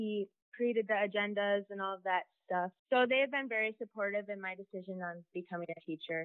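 In an American accent, a woman speaks fairly quickly in a normal speaking voice at a medium pitch, with ordinary pitch variation. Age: young. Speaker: student. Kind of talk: interview.

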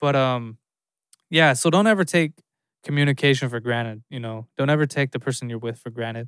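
This is a man with a normal speaking voice, medium in pitch, talking at a fairly quick pace with ordinary pitch variation and big swings in loudness. The recording is very clean and dry, close with no echo, over a silent background. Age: 30s. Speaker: podcast host. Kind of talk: solo casual talk.

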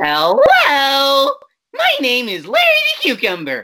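A female-sounding, put-on character voice speaks at a fairly slow pace with a high pitch. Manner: cheerful cartoon.

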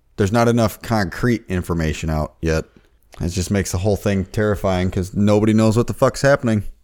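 Talking at a very fast pace, a man with a fairly low pitch uses ordinary pitch variation on a very clean recording with a silent background. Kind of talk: casual chat. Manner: profane, casual banter.

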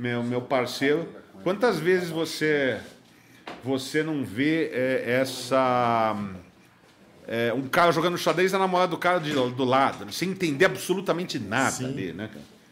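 In an unremarkable speaking voice, a man talks with lively intonation at a fairly high pitch. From São Paulo, Brazil. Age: 40s. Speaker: poker instructor and commentator. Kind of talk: casual interview. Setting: studio.

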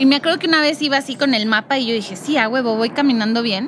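With a Mexican accent, a woman speaks at a high pitch with ordinary pitch variation over noticeable background noise. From Mexico, Morelia. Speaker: podcast co-host, former journalist. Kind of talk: casual chat.

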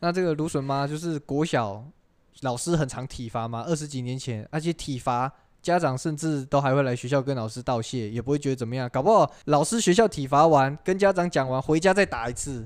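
With an unremarkable speaking voice, a man delivers his words at a fairly quick pace, his pitch fairly high and its variation ordinary. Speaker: podcast host. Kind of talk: casual chat.

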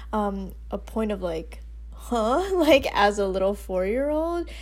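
A woman with an American accent speaks, with audible room echo. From US Northeast, Westchester New York. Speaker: podcast co-host. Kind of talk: casual chat.

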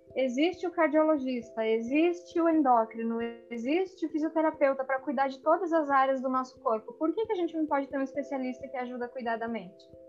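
A woman talks rather quickly, her high voice full of lively intonation. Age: 30s. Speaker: friend of the host. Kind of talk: casual chat.

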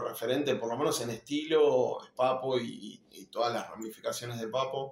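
A man with a plain, everyday voice speaks fairly slowly at a medium pitch with fairly even intonation. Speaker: rock musician, bass player. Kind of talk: casual interview.

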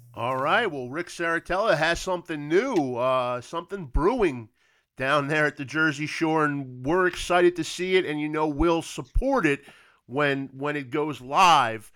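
A man speaks at a fairly slow pace and fairly high pitch, in an ordinary speaking voice with ordinary pitch variation. The recording is very clean, with a silent background. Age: 40s. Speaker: sports podcast host. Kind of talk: casual interview chat; scripted intro and outro.

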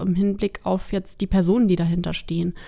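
A woman speaks at a medium pitch in an unremarkable speaking voice. Her intonation is fairly even, and the recording is very clean with a silent background. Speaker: local politician. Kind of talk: podcast interview.

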